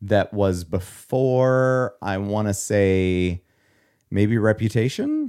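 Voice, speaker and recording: A man speaks at a very slow pace, his fairly low pitch varying in an ordinary way. The recording is very clean, with a silent background. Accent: Midwestern American. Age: 30s. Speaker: podcast co-host. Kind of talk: casual chat.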